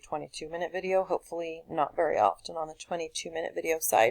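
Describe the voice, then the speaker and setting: A woman speaks with a fairly low voice. Her intonation stays fairly even. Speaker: teacher. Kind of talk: tutorial. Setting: screencast recording. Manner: halting.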